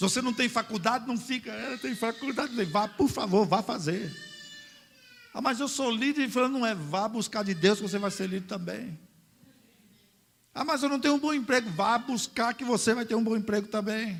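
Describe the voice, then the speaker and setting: The voice belongs to a man and sits high in pitch. His pitch varies an ordinary amount, and he keeps a moderate pace. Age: 60s. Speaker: pastor. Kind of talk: sermon. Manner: animated.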